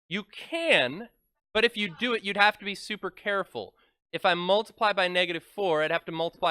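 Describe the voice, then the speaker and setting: A man speaks loudly with lively intonation. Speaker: math teacher. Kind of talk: classroom lecture. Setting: classroom with students. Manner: animated.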